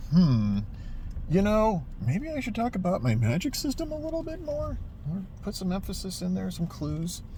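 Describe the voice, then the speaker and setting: A man does a put-on character voice at a moderate pace. Clear background noise can be heard. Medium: solo performance. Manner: casual, joking.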